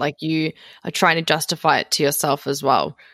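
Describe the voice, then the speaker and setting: A woman with a very deep, low voice speaks at a fairly quick pace. The recording is very clean, dry and close, with a silent background and no echo. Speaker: podcast host. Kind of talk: casual interview.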